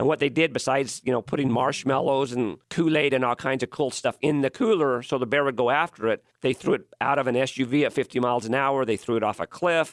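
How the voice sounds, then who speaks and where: A man talks at a very fast pace with hardly any pauses and very even loudness. His medium pitch shows ordinary variation, in a dry, close sound with no echo. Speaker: preservation expert, radio co-host. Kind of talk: casual radio chat.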